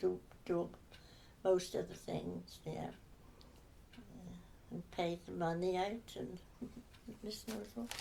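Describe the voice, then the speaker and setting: Speaking with a Herefordshire accent, a woman goes at a very slow pace, leaving long, frequent pauses. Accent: rural Herefordshire English. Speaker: former sawmill office worker. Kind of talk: oral history interview answer. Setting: home sitting room.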